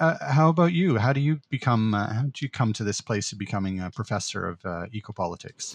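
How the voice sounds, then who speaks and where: With very wide pitch swings, a man talks fairly quickly against a quiet background. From Netherlands, raised in Canada. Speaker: university professor and podcast co-host. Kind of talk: academic conversational discussion. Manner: hesitant, filler-heavy, thoughtful.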